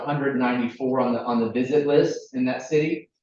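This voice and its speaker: At a fairly quick pace, a man talks with a slight Southern US accent. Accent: slight Southern twang. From US South, Chattanooga, Tennessee. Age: 40s. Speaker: recreation equipment company representative. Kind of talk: presentation at public meeting. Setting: village board meeting room with audience.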